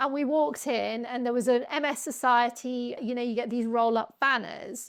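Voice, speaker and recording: A woman speaks with a British accent and a high pitch. Her intonation stays fairly even. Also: moderate pace, quiet background. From UK. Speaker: patient advocate. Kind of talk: podcast interview.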